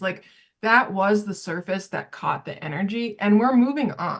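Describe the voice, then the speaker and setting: Against a quiet background, a woman with an American accent speaks at a fairly slow pace. Her medium-pitched voice is somewhat breathy. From Nebraska. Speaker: artist and founder of an art project. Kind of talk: casual conversation.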